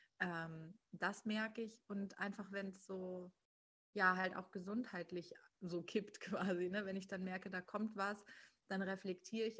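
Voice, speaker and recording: A woman's medium-pitched voice holds monotone, flat intonation at a moderate pace. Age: 30s. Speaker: human design coach. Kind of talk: interview.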